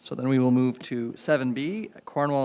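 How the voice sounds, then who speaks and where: This soft-spoken man has a medium pitch. His pitch varies in an ordinary way. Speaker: mayor chairing council. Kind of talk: chairing a meeting. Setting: council chamber meeting.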